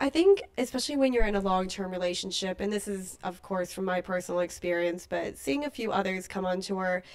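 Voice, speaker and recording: A woman with an American accent talks at a fairly quick pace with ordinary pitch variation. Noticeable background noise runs underneath. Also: medium pitch for a woman, hardly any pauses. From New Zealand, raised partly in the US. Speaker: tour manager. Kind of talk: podcast interview.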